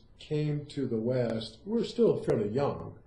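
A man talks in a dark, mellow, somewhat breathy tone with ordinary pitch variation. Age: 60s. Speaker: Zen teacher. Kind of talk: interview.

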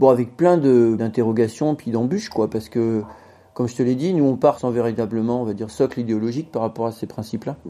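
A man's unremarkable speaking voice at a medium pitch, with ordinary pitch variation. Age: 50s. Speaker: bicycle industry product developer. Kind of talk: interview.

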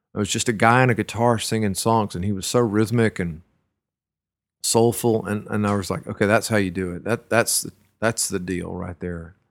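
A man's fairly low voice in a Texan accent, at a moderate pace with fairly even intonation, in a very clean recording with a silent background. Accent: Texan American. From Central Texas (Washington County). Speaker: singer-songwriter. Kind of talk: casual interview conversation. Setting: living room. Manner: hesitant, many fillers and restarts.

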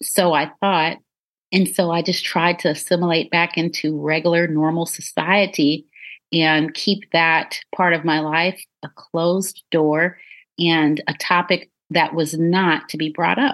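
In an ordinary speaking voice, a woman talks at a fairly slow pace with a fairly low pitch. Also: fairly even intonation, quiet background. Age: 40s. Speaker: anti-trafficking advocate and survivor. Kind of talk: interview.

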